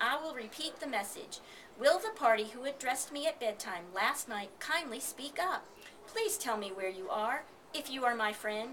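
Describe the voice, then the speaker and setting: Over clear background noise, a woman at a high pitch uses a put-on character voice at a moderate pace. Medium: read story.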